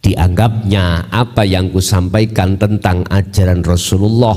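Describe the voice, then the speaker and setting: A man with a very deep, low voice and a Javanese accent, speaking at a very slow pace over noticeable background noise. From Mojokerto, East Java, Indonesia. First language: Javanese (speaking Indonesian). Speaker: Islamic Sufi teacher. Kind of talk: religious lecture. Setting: Islamic boarding school gathering.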